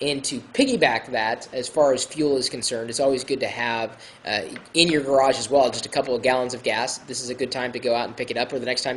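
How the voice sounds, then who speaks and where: Noticeable background noise runs under this man's voice. He has an American accent and a medium pitch, talking at a fairly quick pace in a monotone, flat way. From Iowa, US Midwest. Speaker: tech video blogger. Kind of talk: casual tutorial. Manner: hesitant, many fillers.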